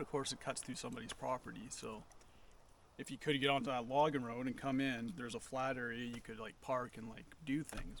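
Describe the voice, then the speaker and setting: A man speaks at a fairly quick pace. His medium-pitched voice shows ordinary pitch variation. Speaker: vlogger, van-dweller. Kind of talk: casual vlog talk to camera. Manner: fast.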